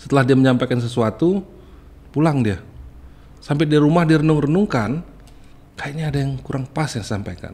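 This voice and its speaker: Talking fairly quickly, a man keeps his pitch variation ordinary. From Bengkulu, Indonesia; Indonesia. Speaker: journalist association candidate. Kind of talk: podcast interview. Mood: calm, reflective. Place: studio. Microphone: studio mic.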